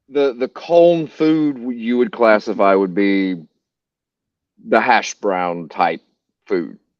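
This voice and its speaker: A man at a medium pitch with a Southern US accent, very wide pitch swings, a very slow pace and long, frequent pauses. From US South, North Carolina. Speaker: podcast host. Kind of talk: casual chat. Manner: animated.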